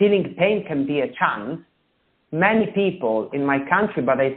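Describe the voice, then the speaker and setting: Fairly slow in pace, a man speaks with an Italian accent. His pitch varies in an ordinary way. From Italy. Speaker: author. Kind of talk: interview. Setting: radio show. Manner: halting.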